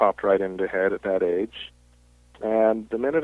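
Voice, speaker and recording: A man with an American accent and a normal speaking voice, medium pitch, ordinary pitch variation and a moderate pace. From Southern California, later Utah. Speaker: author and editor. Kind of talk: interview.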